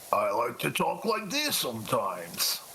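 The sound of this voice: A man performs a put-on character voice at a moderate pace. Clear background noise is present.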